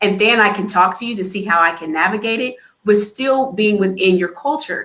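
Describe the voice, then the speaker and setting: A woman talks fairly quickly at a medium pitch, her pitch varying in an ordinary way. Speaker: pediatrician. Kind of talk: panel discussion. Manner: fast.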